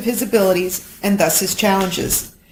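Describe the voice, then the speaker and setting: A somewhat breathy woman's voice at a fairly quick pace. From Florida. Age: 40s. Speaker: paralegal. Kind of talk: live story reading.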